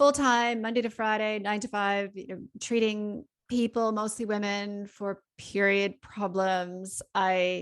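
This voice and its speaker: A woman has an unremarkable speaking voice at a medium pitch, with fairly even intonation and a fairly slow pace. The recording is very clean, with a silent background. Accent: Canadian. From Canada. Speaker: naturopathic doctor. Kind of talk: podcast interview.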